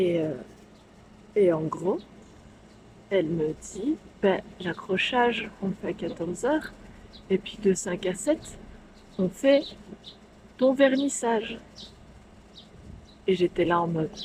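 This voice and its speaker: A woman whispers very slowly with long, frequent pauses and big swings in loudness, over noticeable background noise. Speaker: vlogger and painter. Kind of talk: vlog storytelling. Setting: bar. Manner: whispering.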